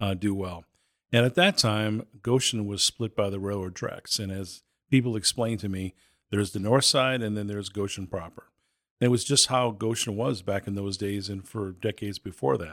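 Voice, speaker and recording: An unremarkable speaking voice, a man with an American accent talks at a moderate pace with a fairly low pitch and ordinary pitch variation. The sound is dry and close with no echo, a very clean recording with a silent background. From Boston. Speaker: youth nonprofit executive. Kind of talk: interview.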